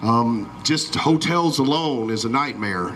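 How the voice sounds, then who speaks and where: Against noticeable background noise, a man with a Southern US accent speaks loudly with fairly even intonation. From Alabama. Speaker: event announcer. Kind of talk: public announcement.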